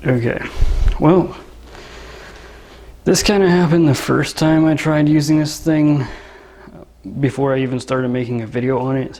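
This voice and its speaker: Noticeable background noise accompanies a man who speaks at a moderate pace with long, frequent pauses. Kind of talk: product review demo, casual talk to camera. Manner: soft-spoken, monotone, relaxing drone.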